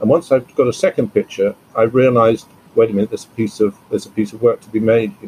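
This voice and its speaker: Somewhat breathy, a man talks at a very fast pace in a dry, close sound with no echo. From Bristol, England. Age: 70s. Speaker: landscape photographer. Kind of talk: casual interview conversation. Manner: halting, with repeated words.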